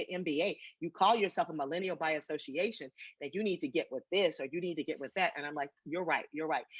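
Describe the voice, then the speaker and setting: With an American accent, a woman speaks in a normal speaking voice at a medium pitch, her intonation lively. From Washington DC. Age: 60s. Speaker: retired civil servant and social media personality. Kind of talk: interview.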